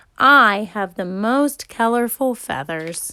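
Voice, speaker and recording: A woman does a put-on character voice at a fairly high pitch and a fairly slow pace on a very clean recording with a silent background. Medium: read story.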